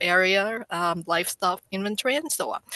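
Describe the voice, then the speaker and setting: A woman speaks with a bright, sharp tone at a medium pitch. Her intonation is lively and her pace moderate. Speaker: government statistics presenter. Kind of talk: webinar presentation. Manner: halting.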